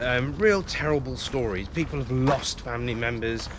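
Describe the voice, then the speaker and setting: Through noticeable background noise and audible room echo, a man speaks with lively intonation. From South Africa. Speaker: police federation official. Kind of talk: casual interview while walking. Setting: outdoors. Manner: hesitant, many fillers.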